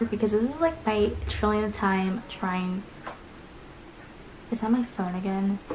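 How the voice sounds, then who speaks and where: A woman speaks at a fairly slow pace. Her pitch is fairly high, with noticeable background noise behind her. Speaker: beauty vlogger. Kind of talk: casual vlog talk. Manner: casual, filler-heavy.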